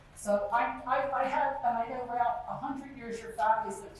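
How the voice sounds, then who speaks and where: A woman with an American accent and a fairly high pitch speaks at a moderate pace with ordinary pitch variation, amid noticeable background noise and audible room echo. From US Northeast (South Jersey, Deptford). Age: 60s. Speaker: resident speaking at public meeting. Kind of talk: public comment at community meeting.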